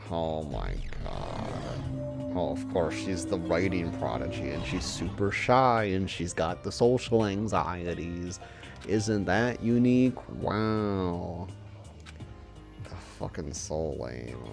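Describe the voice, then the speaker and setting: With music in the background, a man speaks at a very slow pace, his very deep, low voice making very wide pitch swings. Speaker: let's play commentator. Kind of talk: gameplay commentary. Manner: sarcastic, profane ranting.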